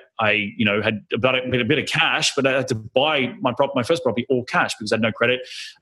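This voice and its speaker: A man with an Australian accent at a very fast pace, medium in pitch, bright and sharp in tone, with hardly any pauses. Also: ordinary pitch variation. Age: 30s. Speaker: real estate investor. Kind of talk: interview.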